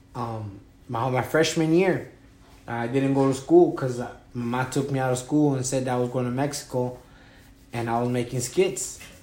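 In an American accent, a man with a dark, mellow tone speaks at medium pitch and a moderate pace with ordinary pitch variation, and room echo is audible. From Wisconsin. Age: 30s. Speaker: former prisoner. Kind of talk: interview. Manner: halting.

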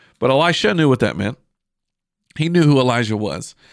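A man at a medium pitch talks at a fairly quick pace with lively intonation on a very clean recording with a silent background. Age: 30s. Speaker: pastor and podcast host. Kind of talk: podcast sermon. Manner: casual, halting with repetitions.

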